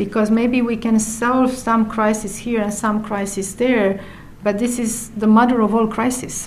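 In a room with audible echo, a woman with a Romanian accent speaks at a fairly slow pace, her fairly high voice held in a monotone, flat intonation. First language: Romanian (speaking Finnish). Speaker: UN environmental official. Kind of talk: interview.

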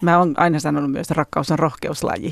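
Her very deep, low voice carries vocal fry and fairly even intonation at a fairly quick pace. The woman's sound is dry and close, with no echo. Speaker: relationship educator and author. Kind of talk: interview.

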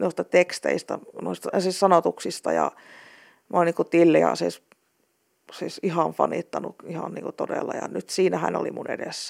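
Very clean recording with a silent background, at a fairly slow pace. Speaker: blind translator. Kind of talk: interview.

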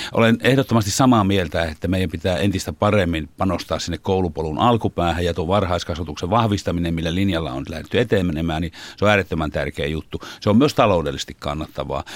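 A man's very deep, low voice with ordinary pitch variation, at a very fast pace with hardly any pauses. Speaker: teachers' union chairman. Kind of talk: studio interview. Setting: studio.

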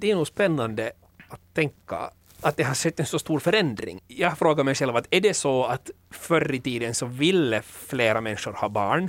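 Recorded in a dry, close sound with no echo, a man with a normal speaking voice talks at a moderate pace, fairly high in pitch, with lively intonation. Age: 30s. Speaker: podcast host. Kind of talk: casual chat.

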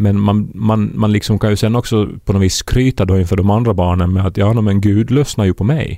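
A man speaks at a fairly quick pace with hardly any pauses, his fairly low, dark, mellow voice held to fairly even intonation and very even loudness. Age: 30s. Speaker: podcast co-host. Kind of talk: casual chat.

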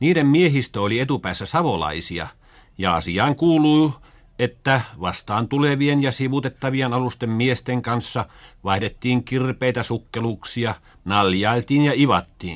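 On a very clean recording with a silent background, a man with a plain, everyday voice speaks at a fairly slow pace and medium pitch, using lively intonation. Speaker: school radio narrator. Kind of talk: 1950s school radio broadcast, scripted educational narration. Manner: formal, measured, earnest, didactic; plain old-fashioned radio diction, stagey when role-playing with children.

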